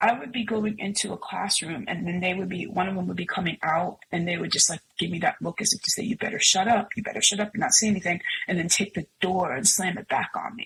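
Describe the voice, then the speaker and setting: A woman's very fast speech at a medium pitch, with ordinary pitch variation and hardly any pauses. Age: 50s. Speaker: singer and music producer. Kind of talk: testimony.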